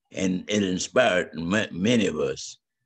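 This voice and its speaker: A man speaks with vocal fry and a very deep, low pitch against a quiet background. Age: 80s+. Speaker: civil rights activist. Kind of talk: interview answer. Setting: Zoom call at home. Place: home room. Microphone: video call.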